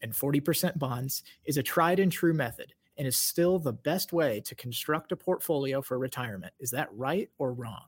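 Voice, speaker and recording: A man speaks at a moderate pace in a somewhat breathy, fairly high-pitched voice. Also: very clean recording, silent background. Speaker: executive producer and co-host, reads quiz statements. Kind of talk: game-show host, reading quiz statements. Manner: bright, energetic, showman-like.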